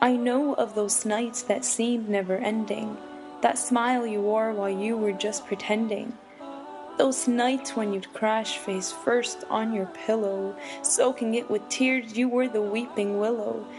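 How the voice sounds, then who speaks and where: Over music in the background, a woman with a fairly high pitch speaks at a fairly slow pace. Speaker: spoken word poet. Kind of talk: spoken word poetry performance.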